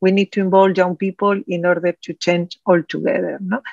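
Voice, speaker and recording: Heard dry and close with no echo, a woman with a Spanish accent speaks at a medium pitch. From Spain. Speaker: oncologist, committee chair. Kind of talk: panel interview. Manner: halting.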